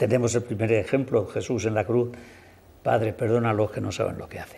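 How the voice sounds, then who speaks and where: A man is speaking. His voice has vocal fry. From Spain, Hellín (Albacete); Spain. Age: 80s+. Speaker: local historian, Franciscan friar; interview guest. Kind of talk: TV interview; interview answer. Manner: halting. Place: studio. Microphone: lapel.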